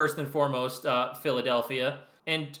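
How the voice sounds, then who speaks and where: This is a man with an American accent. His tone is bright and sharp. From New York. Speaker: podcast guest. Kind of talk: casual chat.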